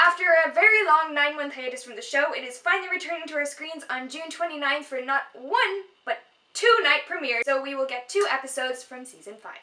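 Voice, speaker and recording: A woman's raised, projected voice, high in pitch, with lively intonation and big swings in loudness. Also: fairly quick pace. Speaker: fan video host. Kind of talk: casual chat. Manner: animated.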